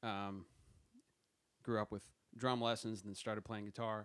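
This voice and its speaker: A man with an American accent talks in a fairly low pitch with monotone, flat intonation. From South Jersey, US. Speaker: music business graduate. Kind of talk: casual chat.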